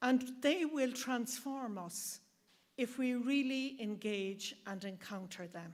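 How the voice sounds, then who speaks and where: Speaking in an Irish accent at a very slow pace, a woman is heard in a very clean recording with a silent background. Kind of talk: speech at launch event.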